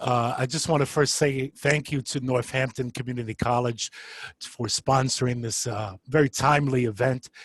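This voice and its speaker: With a New York accent, a man speaks at a moderate pace in a medium, somewhat breathy voice with ordinary pitch variation, the sound dry and close with no echo. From New York City, Bronx. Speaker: social worker and adjunct professor. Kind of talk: panel introduction.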